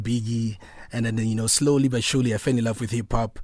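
Speaking at a very fast pace, a man with a Botswana accent keeps a medium pitch and fairly even intonation. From South Africa, North West (Mafikeng). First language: Setswana. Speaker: hip-hop artist and producer. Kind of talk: radio interview. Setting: radio studio.

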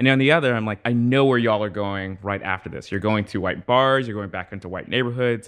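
Very fast and with hardly any pauses, a man talks in an American accent. His pitch is fairly low, with ordinary variation. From US Northeast, Trenton, New Jersey. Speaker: journalist. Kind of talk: casual chat.

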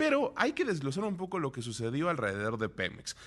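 In a very clean recording with a silent background, a man's voice comes through at a fairly high pitch. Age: 30s. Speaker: radio business news host. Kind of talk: radio news and interview.

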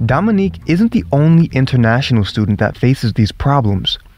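A man with a Northern US accent, medium in pitch, at a fairly quick pace. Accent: American, sounds northern US like New York. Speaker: podcast host, international student. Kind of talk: scripted narration.

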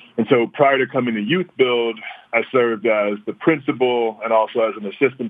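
A man talks with an American accent in a plain, everyday voice. His pitch is medium and his pace moderate. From US South, Louisiana (Baton Rouge, New Orleans). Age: young. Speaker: charter school CEO, former principal. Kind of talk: interview. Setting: phone call.

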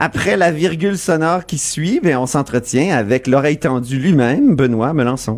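Here is an unremarkable speaking voice from a man with fairly high pitch. He shows ordinary pitch variation and hardly any pauses. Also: moderate pace. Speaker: political radio host. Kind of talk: radio talk show. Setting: studio.

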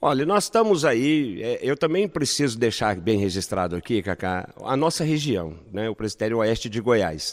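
On a very clean recording with a silent background, a man's pitch swings very widely. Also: medium pitch for a man, moderate pace, hardly any pauses. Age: 50s. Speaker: pastor and clown evangelist. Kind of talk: interview. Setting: on location at a festival.

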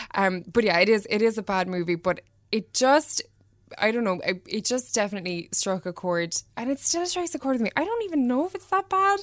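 In a Cork accent, the speaker moves at a fairly quick pace with very wide pitch swings. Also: woman, fairly high pitch for a woman. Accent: Cork Irish. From Ireland, Mallow, County Cork. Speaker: fashion stylist and interior designer. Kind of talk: casual chat.

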